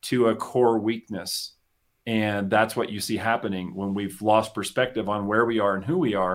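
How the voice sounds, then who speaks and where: A man with an American accent and a normal speaking voice talks at a moderate pace and medium pitch in a very clean recording with a silent background. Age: 50s. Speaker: business coach. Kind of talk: casual chat. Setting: studio.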